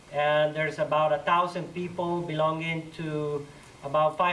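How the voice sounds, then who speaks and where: In a Colombian accent, a man talks at a fairly slow pace with a monotone, flat intonation and a fairly high pitch. Noticeable background noise and audible room echo surround his voice. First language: Spanish. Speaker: community organizer. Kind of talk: talk to church audience. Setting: church hall with audience.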